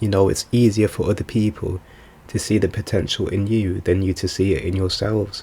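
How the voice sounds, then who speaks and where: A man speaks at a fairly low pitch and a moderate pace with a dark, mellow tone. His voice is somewhat breathy and shaky. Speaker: vlogger. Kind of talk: casual monologue.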